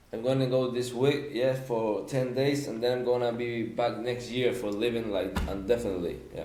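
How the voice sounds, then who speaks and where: A man with a Spanish accent talks at a moderate pace with fairly even intonation. Noticeable background noise and audible room echo are present. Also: medium pitch for a man, hardly any pauses. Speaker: podcast guest. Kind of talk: casual chat. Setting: podcast recording. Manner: halting.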